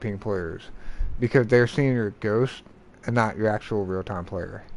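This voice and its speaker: A man mumbles at a medium pitch with fairly even intonation. The background is quiet. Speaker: gaming livestreamer. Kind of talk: casual livestream talk. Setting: livestream. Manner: mumbling.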